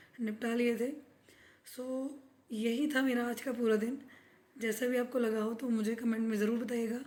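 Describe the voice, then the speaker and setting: A woman's fairly high, flat monotone with audible room echo. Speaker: vlogger. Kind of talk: casual vlog talk.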